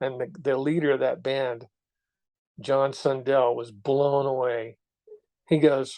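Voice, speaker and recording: Here a man speaks with a fairly high pitch. His tone is dark and mellow. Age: 70s. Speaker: keyboard player and music video creator. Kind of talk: casual interview.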